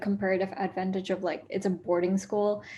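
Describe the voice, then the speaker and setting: Her pitch sits in the medium range. The woman's voice sounds somewhat breathy. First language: not English. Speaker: school alumna. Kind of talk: interview. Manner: hesitant, many fillers.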